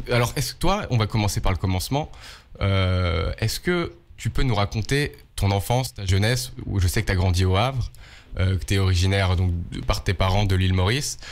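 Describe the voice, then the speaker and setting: In a very clean recording with a silent background, a man speaks at a fairly low pitch. His intonation is lively and his pace moderate. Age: 20s. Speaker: podcast host. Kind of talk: podcast interview. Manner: casual, hesitant.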